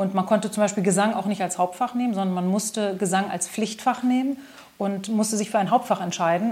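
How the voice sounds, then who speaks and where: This woman has a plain, everyday voice at a medium pitch. She talks at a fairly quick pace with fairly even intonation. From Germany, Braunschweig. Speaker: singer, pianist and composer. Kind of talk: interview.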